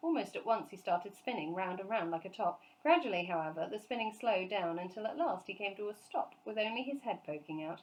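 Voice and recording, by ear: Someone reads the text aloud, using a natural voice.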